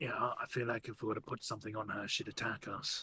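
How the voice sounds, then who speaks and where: A man's raspy, put-on character voice at medium pitch, rattled off at a very fast pace. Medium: actual play.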